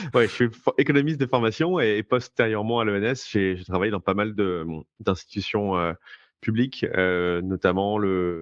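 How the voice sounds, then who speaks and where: This man's fairly low voice moves at a moderate pace with ordinary pitch variation. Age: 30s. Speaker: blockchain entrepreneur. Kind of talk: interview. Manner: halting, many fillers.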